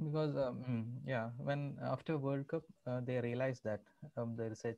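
A man at a fairly slow pace, ordinary pitch variation, against a quiet background. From Kerala, India. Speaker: salesman. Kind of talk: interview answer. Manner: hesitant, casual. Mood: amused storytelling. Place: home room. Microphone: video call.

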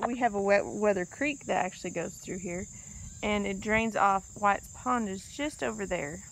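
Dry, echo-free sound from a woman, with ordinary pitch variation and light background noise. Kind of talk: casual vlog chat. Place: open country. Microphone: phone near.

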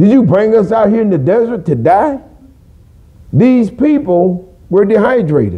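This man speaks at a fairly slow pace with lively intonation. The background is quiet. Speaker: preacher. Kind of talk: sermon. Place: church.

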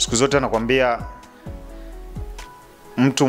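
The speech moves at a moderate pace with ordinary pitch variation over faint background music. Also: man. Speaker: guest. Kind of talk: interview answer. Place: studio. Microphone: handheld.

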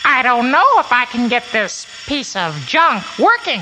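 A cartoonish character voice, female-sounding and high-pitched, moves at a fairly slow pace. Clear background noise runs underneath. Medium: puppet.

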